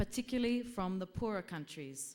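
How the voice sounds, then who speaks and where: Speaking with an Australian accent, a woman uses a medium pitch, ordinary pitch variation and a moderate pace on a very clean recording with a silent background. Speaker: health activist presenting a report. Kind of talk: conference presentation. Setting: conference with slides.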